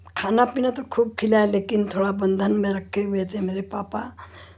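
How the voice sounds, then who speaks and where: A woman speaks at a medium pitch. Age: 70s. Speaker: homemaker vlogger. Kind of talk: personal monologue. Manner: conversational with fillers.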